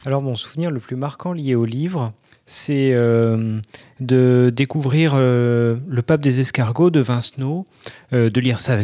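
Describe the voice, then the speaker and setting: The man talks at a fairly slow pace. His tone is dark and mellow. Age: 30s. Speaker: art director sharing reading habits in listener segment. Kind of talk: casual personal testimony.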